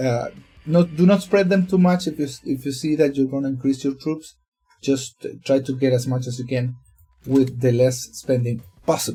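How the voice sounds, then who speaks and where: Fairly high male voice at a moderate pace with ordinary pitch variation, music in the background. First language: not English. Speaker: gaming youtuber. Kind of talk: tutorial. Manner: hesitant, many fillers.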